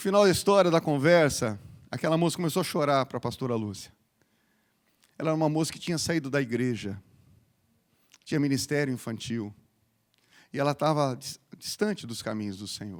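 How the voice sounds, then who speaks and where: A fairly high-pitched man with an animated tone and lively intonation, a fairly quick pace, long, frequent pauses and big swings in loudness, on a very clean recording with a silent background. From Paraná, southern Brazil. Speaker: pastor. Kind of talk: sermon. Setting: church.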